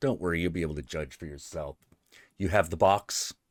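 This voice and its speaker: Putting on a character voice, a man speaks at a fairly quick pace in a resonant, very deep, low pitch on a very clean recording with a silent background. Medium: actual play. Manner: cool, matter-of-fact.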